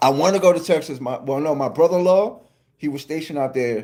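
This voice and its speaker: The speaker has a New York accent and ordinary pitch variation. The delivery comes at a fairly quick pace. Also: man. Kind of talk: casual, informal.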